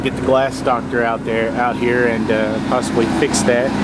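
The voice comes at a moderate pace in a dry sound with no echo, over loud background noise. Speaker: RV sales inspector. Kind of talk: tutorial walk-through commentary. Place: street. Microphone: phone near.

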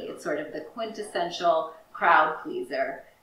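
A woman can be heard with light background noise and audible room echo. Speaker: library director hosting a cooking show. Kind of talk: tutorial. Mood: warm, enthusiastic. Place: kitchen.

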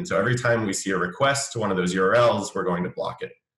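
A man's voice with audible room echo against a quiet background. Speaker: remote webinar guest. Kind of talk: interview answer. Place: home room. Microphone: webcam.

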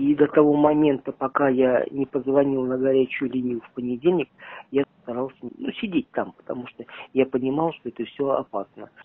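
The sound is dry with no echo. A man speaks at a moderate pace with fairly even intonation. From Mordovia, Russia; Russia. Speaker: covid patient, entrepreneur. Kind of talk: interview. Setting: hospital isolation ward. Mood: calm, grateful. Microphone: phone near.

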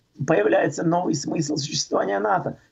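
The voice swings very widely in pitch and carries vocal fry. The background is quiet. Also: man. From Czech Republic. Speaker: political commentator. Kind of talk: radio talk show discussion. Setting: phone call. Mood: critical, indignant. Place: home room. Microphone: video call.

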